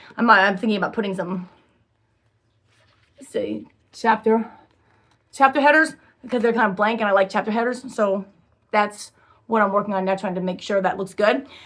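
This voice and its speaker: A woman's medium-pitched voice with ordinary pitch variation and long, frequent pauses. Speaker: self-published author. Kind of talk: casual vlog chat. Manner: fast; halting, many fillers.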